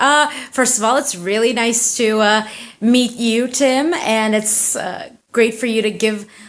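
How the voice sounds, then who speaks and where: Here is a woman with an American accent and a normal speaking voice. Her pitch is fairly high, her pace moderate, and her pitch variation ordinary. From United States (Turkish family). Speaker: indie fantasy author and tattoo artist. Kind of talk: casual interview. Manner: casual, chatty.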